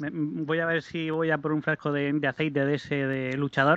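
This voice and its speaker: Moderate-paced speech from a man with a fairly high pitch. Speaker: regular listener. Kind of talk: casual chat. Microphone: distant, muffled line.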